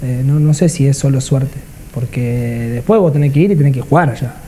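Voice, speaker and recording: A man speaking at a moderate pace. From Argentina, Ensenada; Argentina. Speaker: professional footballer, goalkeeper; guest. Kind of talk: casual interview. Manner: halting, many repetitions. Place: home room. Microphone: lapel.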